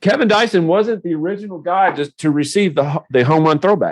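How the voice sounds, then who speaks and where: A speaker with a Tennessee accent talks at a fairly quick pace. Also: man. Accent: Southern US (Tennessee). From US South, Nashville area. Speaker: podcast host. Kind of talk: casual interview.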